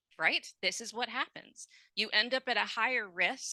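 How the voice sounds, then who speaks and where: A woman speaks at a moderate pace with a bright, sharp tone. The sound is dry and close with no echo, over a quiet background. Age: 50s. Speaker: lecturer on ageism. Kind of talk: lecture.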